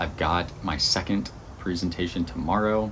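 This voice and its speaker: With noticeable background noise and audible room echo, a man speaks in fairly even intonation. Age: 30s. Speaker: vlogger and magazine publisher. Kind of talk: casual vlog update. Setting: outdoors on a porch. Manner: rambling, casual.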